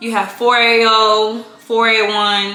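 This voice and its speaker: Over noticeable background noise and audible room echo, a woman speaks in a fairly high pitch with monotone, flat intonation. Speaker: Air Force reservist vlogger. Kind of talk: casual Q&A vlog. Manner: casual, many filler ums.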